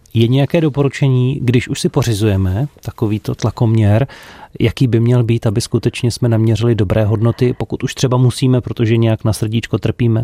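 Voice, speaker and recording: Dark and mellow, a man's medium-pitched voice moves at a fairly quick pace with fairly even intonation and very even loudness, in a dry, close sound with no echo. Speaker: radio host. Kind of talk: radio magazine hosting. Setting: radio studio.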